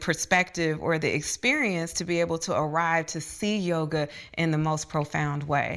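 On a very clean recording with a silent background, a woman with a plain, everyday voice talks at a moderate pace and a fairly low pitch. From US Midwest, Dayton, Ohio. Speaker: yoga teacher and educational researcher. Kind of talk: casual interview. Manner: cheerful, smiling.

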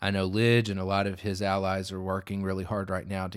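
Very deep, low male speech in a Southern US accent at a fairly quick pace, on a very clean recording with a silent background. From US South. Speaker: policy analyst. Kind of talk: casual chat. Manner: not loud.

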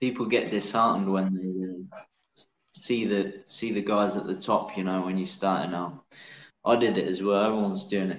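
A man with an English Midlands accent speaks at a moderate pace in a fairly low voice, his loudness swinging widely while his intonation stays fairly even. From England, Northamptonshire. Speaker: mixed martial arts fighter. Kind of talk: interview.

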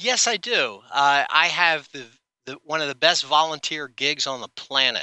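With an American accent and an unremarkable speaking voice, a man talks at a moderate pace and a fairly high pitch, with big swings in loudness. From New Jersey. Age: 50s. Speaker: cartoon brand creator, former athlete. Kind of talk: interview.

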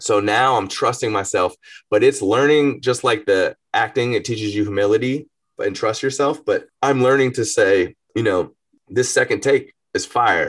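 A man speaks at a moderate pace with an American accent. The background is quiet. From US South, Georgia (Marietta). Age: 30s. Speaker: rapper. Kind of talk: casual chat.

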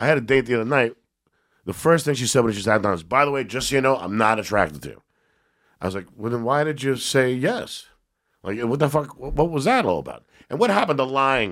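Very fast in pace, this man talks with lively intonation. His pitch is medium. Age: 50s. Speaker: comedian and actor. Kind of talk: casual chat. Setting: studio.

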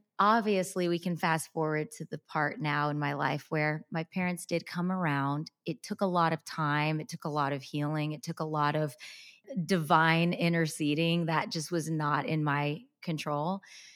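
A woman speaks at a moderate pace in a very deep, low voice. The recording is very clean, with a silent background and a dry, close sound free of echo. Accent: Texas. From Texas. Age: 30s. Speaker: content creator. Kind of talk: interview. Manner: animated.

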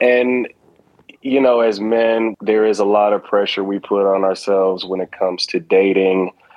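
In an ordinary speaking voice, a man talks at a moderate pace, his pitch fairly low and his intonation fairly even. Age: 30s. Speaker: caller. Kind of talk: casual chat.

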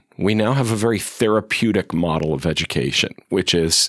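A man's normal speaking voice, fairly low in pitch with ordinary pitch variation, on a very clean recording with a silent background. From western Massachusetts. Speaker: professor of national security, author. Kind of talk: interview.

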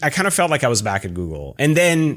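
This man is heard on a very clean recording with a silent background. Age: 40s. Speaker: tech executive and former startup founder. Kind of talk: casual interview conversation. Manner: fast talker.

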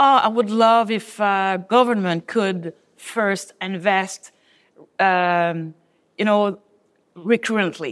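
At a very slow pace, a woman with a medium pitch speaks with long, frequent pauses. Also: ordinary pitch variation. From Haiti, moved to Montreal at eleven. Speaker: public transit executive. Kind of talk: interview. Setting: conference venue. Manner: halting, many fillers.

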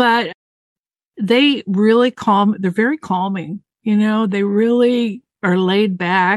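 A woman with an American accent speaks in a normal speaking voice at medium pitch, fairly slowly and with fairly even intonation, in a dry, close sound with no echo against a quiet background. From Southern California. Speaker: mediator, guest sharing life experience. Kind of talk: casual chat.

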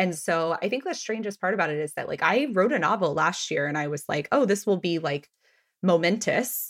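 A woman talks at a fairly quick pace in a normal speaking voice with a medium pitch and lively intonation. The recording is very clean, with a silent background. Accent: American. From Texas. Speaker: podcast host and writer. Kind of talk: casual chat.

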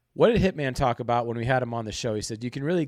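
Very clean recording with a silent background, featuring a man's medium-pitched voice. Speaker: sports betting podcast co-host. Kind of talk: casual chat.

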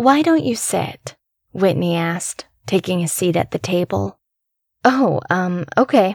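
In an unremarkable speaking voice, a woman talks at medium pitch and a fairly slow pace with lively intonation, the sound dry and close with no echo. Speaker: podcast narrator. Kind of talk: scripted narration of a horror story, read aloud in first person. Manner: hushed, suspenseful, building creepy dread.

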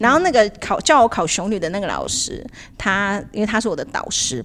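The recording is very clean, its background silent. A woman talks at a medium pitch. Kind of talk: casual chat.

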